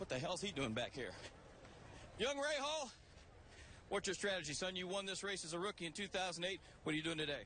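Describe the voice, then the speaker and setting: In a raised, projected voice, a man speaks very fast at a high pitch with very wide pitch swings and long, frequent pauses. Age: 60s. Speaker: pit reporter. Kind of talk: live grid walk interviews. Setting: outdoors on race grid. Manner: fast, casual.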